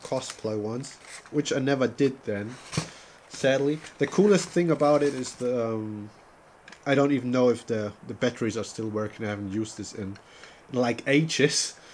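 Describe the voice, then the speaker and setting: Moderate pace broken by long, frequent pauses, with ordinary pitch variation and noticeable background noise. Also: man. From Germany. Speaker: gaming streamer. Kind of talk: casual chat. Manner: halting.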